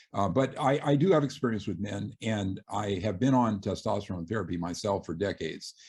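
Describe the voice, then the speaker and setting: A man speaks fairly quickly in a fairly low, somewhat breathy voice. His pitch variation is ordinary. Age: 60s. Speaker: surgeon and author. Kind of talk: interview. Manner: halting, many fillers.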